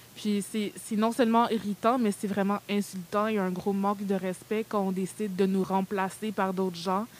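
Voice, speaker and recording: Delivered at a moderate pace with hardly any pauses, the voice stays monotone and flat throughout. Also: woman, medium pitch for a woman. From Quebec, Montreal. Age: 20s. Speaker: content creator and podcast host. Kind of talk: casual discussion with students.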